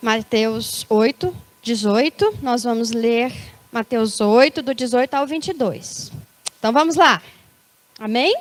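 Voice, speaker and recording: Speaking very slowly, a woman leaves long, frequent pauses. Her fairly high pitch shows ordinary variation, and the sound is dry and close with no echo. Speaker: preacher. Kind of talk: sermon. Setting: church service.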